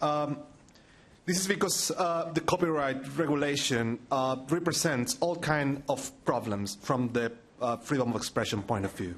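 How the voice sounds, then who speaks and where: Speaking with a Chilean accent, a man uses lively intonation at a moderate pace and a fairly high pitch. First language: Spanish. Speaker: digital rights NGO director. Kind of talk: conference presentation. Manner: halting, many fillers.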